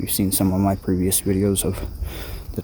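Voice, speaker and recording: Amid noticeable background noise, a soft-spoken man talks with a fairly low pitch. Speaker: survival and prepping vlogger. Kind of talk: nature walk vlog. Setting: outdoors.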